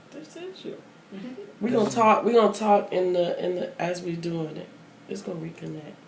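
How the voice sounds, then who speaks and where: At a moderate pace, the speaker shows ordinary pitch variation and big swings in loudness over noticeable background noise. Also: woman, medium pitch for a woman. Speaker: radio show host. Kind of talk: radio interview host. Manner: casual, chatty, jokey.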